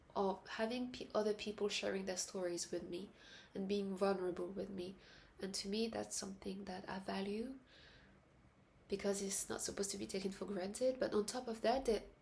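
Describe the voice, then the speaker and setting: Soft-spoken and somewhat breathy, a woman talks at a fairly quick pace with a medium pitch and fairly even intonation. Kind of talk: casual talk to camera. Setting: indoors at night, late-night vlog. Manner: soft-spoken, reflective.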